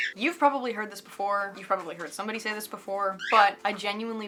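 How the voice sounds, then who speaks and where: With noticeable background noise, a woman speaks in an American accent. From Southern California. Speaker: guitarist, music tutorial creator. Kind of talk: tutorial. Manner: casual, filler-heavy.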